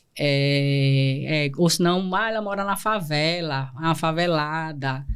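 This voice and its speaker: In an Alagoas accent, a woman with a very deep, low voice speaks at a very slow pace, with audible echo in the room. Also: ordinary pitch variation. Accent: northeastern Brazilian Portuguese (Alagoas). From Brazil, Northeast (Pernambuco, raised in Alagoas). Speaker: lawyer and entrepreneur. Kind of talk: podcast interview, personal life story. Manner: gets loud and intense when speaking; halting, many restarts and fillers.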